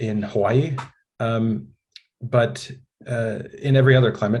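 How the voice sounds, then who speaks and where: Somewhat breathy and fairly even in intonation, a man speaks at a fairly slow pace in a medium pitch. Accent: American. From United States. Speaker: building science trainer. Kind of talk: webinar presentation. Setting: online webinar. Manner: casual, frequent fillers.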